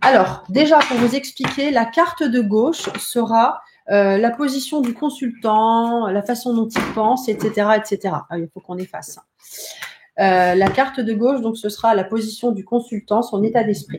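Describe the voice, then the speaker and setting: The woman talks rather slowly. Her voice is fairly high in pitch and varies in an ordinary way. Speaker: psychic and tarot teacher. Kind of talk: live-streamed tutorial. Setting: live stream from home.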